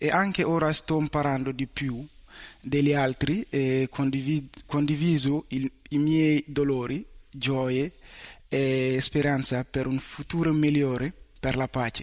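A man speaks with a fairly high pitch at a very slow pace. His loudness stays very even. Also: fairly even intonation. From Mali. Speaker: university student. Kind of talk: interview. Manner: halting, non-native.

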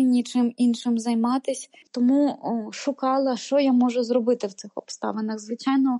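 At a moderate pace, a woman talks in a high pitch with monotone, flat intonation and a dark, mellow tone, the sound dry and close with no echo. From Ukraine. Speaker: volunteer and communications lecturer. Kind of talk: interview testimony.

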